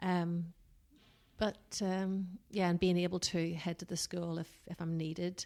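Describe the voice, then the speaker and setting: With a strong Northern Irish accent, a woman speaks fairly slowly in a fairly low, dark, mellow voice with monotone, flat intonation. The recording is very clean, with a silent background. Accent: Northern Irish, still strong. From Northern Ireland. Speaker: business consultant. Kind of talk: podcast interview.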